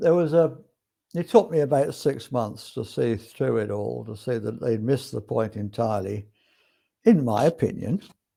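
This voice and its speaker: The voice carries an English accent and a dark, mellow tone. Vocal fry runs through it. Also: man, medium pitch for a man, lively intonation, moderate pace. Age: 60s. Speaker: spiritual podcast host. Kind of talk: casual monologue. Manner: relaxed, hesitant with fillers.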